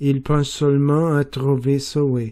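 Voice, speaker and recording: In a Portuguese accent, a man talks very slowly with monotone, flat intonation. His voice is fairly high in pitch with a dark, mellow tone. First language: Portuguese (speaking French). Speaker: French learner. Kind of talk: reading aloud. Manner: careful, deliberate pronunciation.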